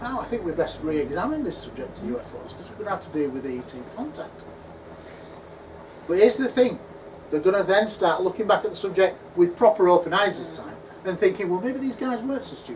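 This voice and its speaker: Audible room echo and noticeable background noise surround this recording. A man talks at a very fast pace and a high pitch with lively intonation. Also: big swings in loudness. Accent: English. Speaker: UFO researcher and conference speaker. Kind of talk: conference talk Q&A. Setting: conference at a pub venue with audience. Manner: animated.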